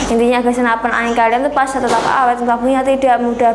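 Noticeable background noise runs under a woman's voice. Her pitch is fairly high, and her intonation stays monotone and flat. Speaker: online airgun shop seller. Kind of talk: sales pitch. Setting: video review in front of airguns. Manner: pushy, repeatedly urging viewers to watch to the end; fast, rambling, repetitive product-spec patter. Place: shop.

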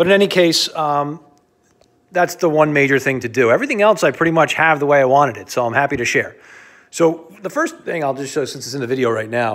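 A man speaks at a very fast pace with ordinary pitch variation and big swings in loudness. The background is quiet. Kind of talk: casual walk-through tour. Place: garage. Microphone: phone near.

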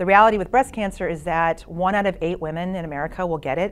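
A woman speaking at a fairly quick pace with fairly even intonation, over light background noise. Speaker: teacher sharing her experience. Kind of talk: interview answer. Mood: earnest, emotional personal story.

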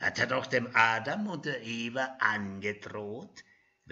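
This is a plain reading. The words are read aloud without anything added.

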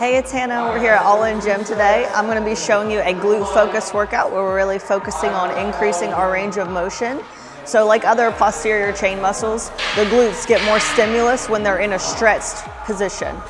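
Amid loud background noise, a woman talks at a fairly quick pace. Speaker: fitness trainer. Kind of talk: tutorial intro. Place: gym. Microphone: lapel.

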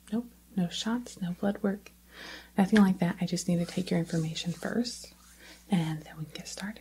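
A soft-spoken woman talks at a moderate pace in a dark, mellow, gentle tone, somewhat breathy. Her intonation is fairly even, with light background noise. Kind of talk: soft role-play talk to viewer. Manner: soft-spoken, gentle close-up ASMR voice.

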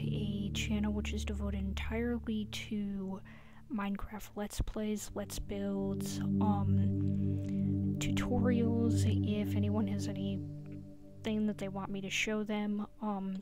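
The speaker is soft-spoken and goes at a very slow pace. Music plays in the background. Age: 20s. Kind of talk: casual gameplay commentary.

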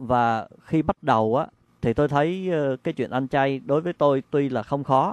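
A man speaks at a fairly slow pace and medium pitch with ordinary pitch variation, the sound dry and close with no echo and the background quiet. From Vietnam. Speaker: meditation practitioner, interviewee. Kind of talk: interview testimony. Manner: halting, with fillers.

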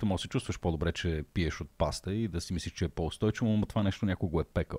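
This man's voice sits very deep and low, and he talks extremely fast. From Bulgaria, Shumen; Bulgaria. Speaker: science podcast host. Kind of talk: casual chat. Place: studio. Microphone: studio mic.

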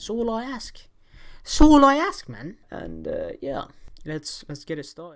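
With a quiet background behind him, a man speaks at a moderate speed. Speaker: reaction video creator. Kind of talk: casual vlog chat. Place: home room.

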